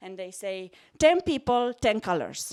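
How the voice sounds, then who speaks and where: A woman speaks in a Romanian accent with very wide pitch swings. The recording is very clean, with a silent background. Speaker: psychology lecturer. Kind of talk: stand-up. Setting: stage with audience. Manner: animated.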